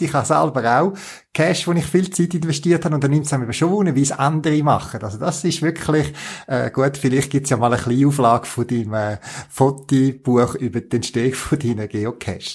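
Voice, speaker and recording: With lively intonation and a somewhat breathy voice, a man talks fairly quickly. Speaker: podcast host. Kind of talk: casual interview.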